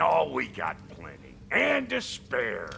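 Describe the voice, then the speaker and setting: Over clear background noise, a man puts on a raspy character voice and speaks at a very slow pace. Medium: video game. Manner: brash, streetwise.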